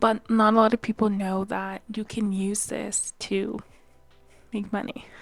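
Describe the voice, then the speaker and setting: A soft-spoken woman's medium-pitched voice with monotone, flat intonation. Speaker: YouTuber. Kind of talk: casual vlog tutorial. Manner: hesitant, many fillers.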